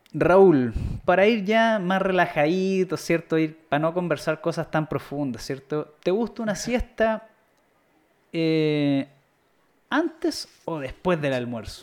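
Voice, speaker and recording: On a very clean recording with a silent background, a man with a Chilean accent speaks at a very slow pace in a high voice with lively intonation. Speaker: podcast host. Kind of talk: casual chat. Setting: live stream. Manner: animated.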